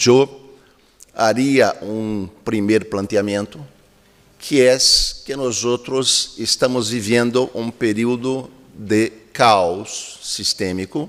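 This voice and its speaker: At a very slow pace, a man speaks with medium pitch and fairly even intonation. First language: Spanish or Portuguese. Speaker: keynote speaker, academic. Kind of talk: lecture.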